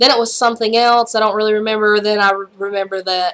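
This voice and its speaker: Animated and bright, with a sharp tone, a woman with a Southern US accent speaks at a fairly high pitch with ordinary pitch variation. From US South. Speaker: YouTuber. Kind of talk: casual vlog chat. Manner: animated, rambling with many fillers.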